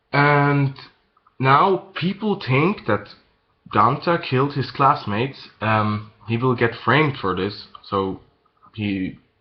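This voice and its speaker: Speaking at a very slow pace with a non-native accent, a man's voice swings very widely in pitch. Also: medium pitch for a man. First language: not English. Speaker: manga reviewer. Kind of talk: casual video review. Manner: halting, many fillers and repeats.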